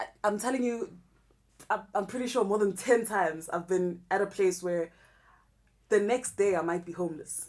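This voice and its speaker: Long, frequent pauses break up a woman's speech at a moderate pace. Her pitch is medium, with ordinary variation. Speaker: rapper. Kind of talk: interview. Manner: loud.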